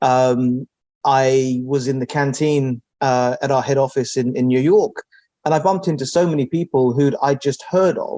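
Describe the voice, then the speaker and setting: With a London accent, a man talks at a moderate pace in a fairly high pitch with a dark, mellow tone and ordinary pitch variation, the sound dry and close with no echo. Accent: English (London), noticeable. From England, Southwest London (New Malden). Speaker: technology executive. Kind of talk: interview. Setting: office.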